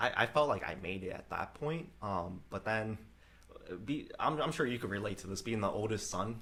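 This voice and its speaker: A man with a slight Vietnamese accent, a bright, sharp tone, ordinary pitch variation and a moderate pace. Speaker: real estate investor and entrepreneur. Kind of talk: casual chat. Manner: casual, many fillers.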